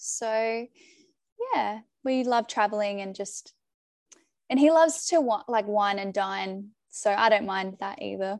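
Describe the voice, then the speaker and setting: With an Australian accent, a woman speaks at a fairly high pitch and a fairly slow pace. Her pitch variation is ordinary, and her pauses are long and frequent. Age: 20s. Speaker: podcast guest sharing her love story. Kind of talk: casual interview chat.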